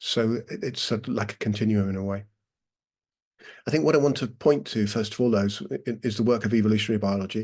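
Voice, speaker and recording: Long, frequent pauses break up a man's very fast delivery, his fairly low voice keeping fairly even intonation. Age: 60s. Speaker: breathwork teacher. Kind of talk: talk with guided breathing exercise. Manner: halting.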